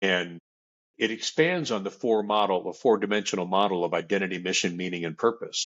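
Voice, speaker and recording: A man with an unremarkable speaking voice and a fairly low pitch talks at a fairly quick pace with ordinary pitch variation. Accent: American. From US Southwest, South Phoenix, Arizona. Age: 60s. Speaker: author and men's group leader. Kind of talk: interview.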